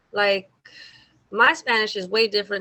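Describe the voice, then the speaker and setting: This woman has an American accent. Her pitch is medium. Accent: slight Mexican American. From South Texas, Mexican American. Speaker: singer. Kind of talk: interview.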